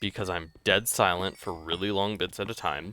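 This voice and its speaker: A man talks at a fairly slow pace. His tone is bright and sharp. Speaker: gaming YouTuber. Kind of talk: gameplay commentary. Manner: halting, self-correcting; casual, filler-heavy.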